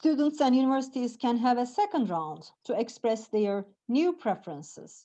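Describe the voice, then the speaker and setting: A woman with a Turkish accent speaks at a fairly slow pace and a high pitch. Her tone is dark and mellow. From Turkey. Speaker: professor. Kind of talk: lecture. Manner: halting.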